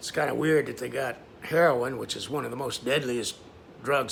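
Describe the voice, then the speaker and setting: A man talks at a moderate pace. Noticeable background noise can be heard behind him. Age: 70s. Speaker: self-published author and vlogger. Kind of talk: casual personal video monologue. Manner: hesitant, with many filler words.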